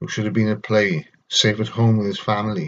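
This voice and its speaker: The speaker has a Welsh accent. The pace is moderate. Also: man. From Wales. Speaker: vlogger with schizophrenia reading own poetry. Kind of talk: poetry reading; personal reflection. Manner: halting.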